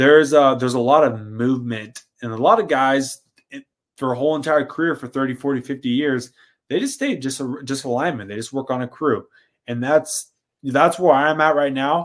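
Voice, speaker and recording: Speaking fairly quickly in an unremarkable speaking voice, a man with a fairly high pitch shows ordinary pitch variation and big swings in loudness. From US Pacific Northwest. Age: 20s. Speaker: power lineman and trade educator. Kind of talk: podcast interview.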